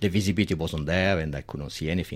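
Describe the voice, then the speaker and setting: Very clean recording, silent background. A man speaks with an Italian accent and lively intonation. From Italy. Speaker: diving community organizer. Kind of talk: radio interview.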